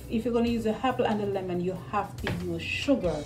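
A woman with music in the background. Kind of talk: tutorial. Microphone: phone near.

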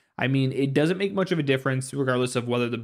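The man is heard against a quiet background. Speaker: tech reviewer. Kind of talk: product review tutorial. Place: home room. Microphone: studio mic.

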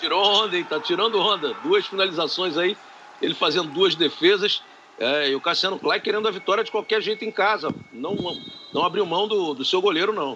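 Over noticeable background noise, a man uses a raised, projected voice at a high pitch, with ordinary pitch variation and a fairly quick pace. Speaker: color commentator. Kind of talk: live commentary.

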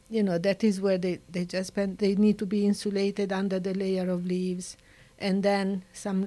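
In a dark, mellow tone, a woman speaks with an Italian accent. Her pace is fairly slow. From Italy. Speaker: nature conservationist. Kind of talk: interview. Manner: animated. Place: studio. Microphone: studio mic.

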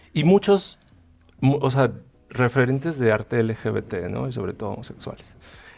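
At a moderate pace, a man talks with faint music in the background. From Chiapas, Mexico. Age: 30s. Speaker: painter; guest. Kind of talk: panel discussion. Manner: halting, many repetitions. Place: studio. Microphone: headset.

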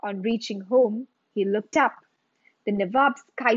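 A natural voice reads aloud. Quiet surrounds it.

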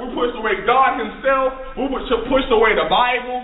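Room echo is audible as a man speaks at an extremely high pitch. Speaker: minister preaching. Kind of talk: rousing call-and-response sermon to a congregation. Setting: church service with live audience. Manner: fervent, repetitive preacher cadence with rhetorical questions; informal, stumbling with fillers and restarts. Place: classroom. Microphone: camera far.

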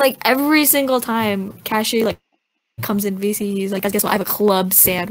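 Fairly quick in pace, a woman talks with a plain, everyday voice. Her pitch is fairly high, with ordinary pitch variation. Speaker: podcast co-host. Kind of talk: casual chat. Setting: video call.

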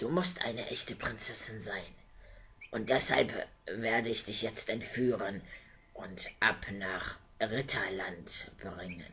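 A put-on character voice with a bright, sharp tone speaks slowly amid audible room echo. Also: man, fairly low pitch for a man, ordinary pitch variation.

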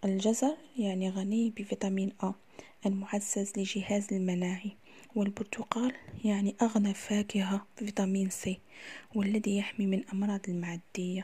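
A woman speaks at a fairly slow pace in an Algerian accent, medium in pitch with monotone, flat intonation. Her tone is dark and mellow, somewhat breathy. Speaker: cooking YouTuber. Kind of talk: casual tips video.

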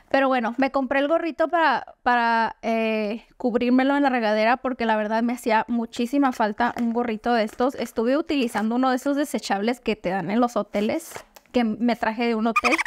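A woman's high-pitched, animated voice at a fairly quick pace, with ordinary pitch variation and hardly any pauses. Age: 30s. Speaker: beauty vlogger. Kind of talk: product haul video. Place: home room.

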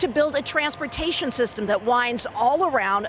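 A woman speaks at a moderate pace. The sound is dry with no echo, over light background noise. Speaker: TV news reporter. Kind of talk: live news report. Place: street. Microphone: handheld.

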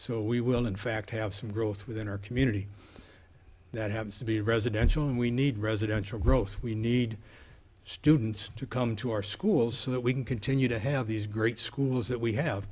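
A man's somewhat breathy voice at a moderate pace, with fairly even intonation. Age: 70s. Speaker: city council member. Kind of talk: political debate. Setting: stage with audience. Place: hall. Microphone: podium.

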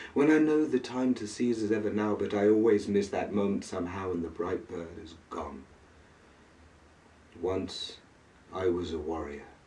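Fairly low in pitch, a man talks at a moderate pace with big swings in loudness and long, frequent pauses. Room echo is audible. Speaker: poet. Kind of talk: poetry reading. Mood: brooding, melancholic. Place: home room. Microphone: camera far.

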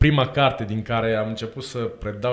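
A man is speaking at a moderate pace. His pitch varies in an ordinary way. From Romania. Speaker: co-host, church catechism teacher. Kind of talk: casual interview chat. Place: studio. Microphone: studio mic.

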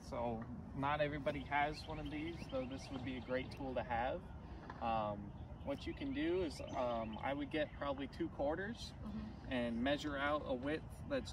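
Background noise is noticeable. The sound is dry, with no echo. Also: man. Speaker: golf instructor. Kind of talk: lesson recap instruction. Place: open country. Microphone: camera far.

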